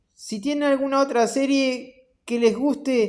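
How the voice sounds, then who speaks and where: A man speaks at a very slow pace. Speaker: video blogger. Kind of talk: casual monologue. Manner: halting.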